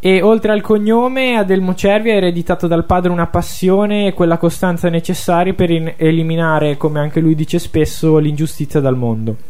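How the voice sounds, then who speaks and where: A man with high pitch talks at a fairly quick pace with hardly any pauses. His loudness is very even, and his pitch varies in an ordinary way. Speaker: radio host, music presenter. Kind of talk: radio talk show, conversational. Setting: radio studio.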